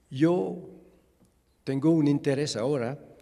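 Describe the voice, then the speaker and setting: A man's dark, mellow voice with a non-native accent, at a very slow pace with ordinary pitch variation. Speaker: refugee expert and researcher. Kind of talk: lecture. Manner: halting.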